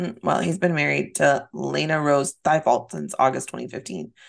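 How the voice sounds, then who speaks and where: A woman talks at a moderate pace. Her loudness swings widely. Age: 30s. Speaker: podcast co-host. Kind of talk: casual chat.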